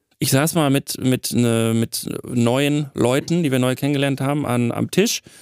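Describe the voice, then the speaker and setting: A man with a plain, everyday voice of medium pitch speaks at a fairly slow pace in a dry, close sound with no echo. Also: fairly even intonation, very even loudness. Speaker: sound designer, podcast co-host. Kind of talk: casual chat.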